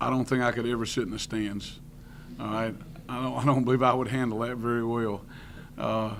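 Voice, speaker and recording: Speaking at a fairly quick pace but with long, frequent pauses, a man with a Tennessee accent keeps a monotone, flat intonation amid audible room echo. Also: medium pitch for a man. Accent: Southern US (Tennessee). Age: 60s. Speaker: college football coach. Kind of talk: press conference.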